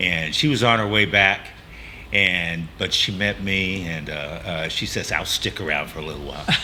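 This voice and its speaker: A man with a Texas accent and a very deep, low pitch, ordinary pitch variation, and noticeable background noise. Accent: Texas drawl. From Texas Gulf Coast. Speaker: coffee shop owner. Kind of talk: interview. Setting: on location in coffee shop. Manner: halting, many fillers.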